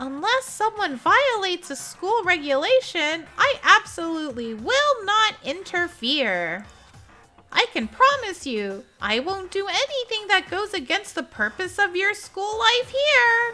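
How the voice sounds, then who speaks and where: Music plays in the background as a put-on character voice speaks at a fairly slow pace. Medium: video game. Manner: playful, mocking, cheerfully menacing.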